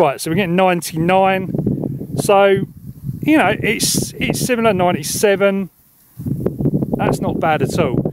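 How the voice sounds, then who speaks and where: The sound is dry, with no echo, though noticeable background noise is present. A man speaks at a very slow pace. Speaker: radio hobbyist. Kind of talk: tutorial commentary. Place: open country.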